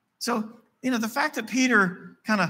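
A man with an Appalachian accent and a bright, sharp tone, at a moderate pace. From West Virginia. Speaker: pastor. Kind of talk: sermon. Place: church.

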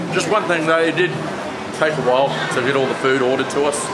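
Music plays in the background as a man speaks at a fairly quick pace with ordinary pitch variation. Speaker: travel food vlogger. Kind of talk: casual vlog chat.

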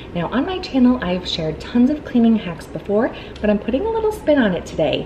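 Someone speaks at a fairly quick pace. There is light background noise. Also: woman. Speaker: home cleaning vlogger. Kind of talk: tutorial. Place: home room.

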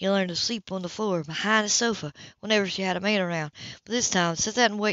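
Reading aloud, plain

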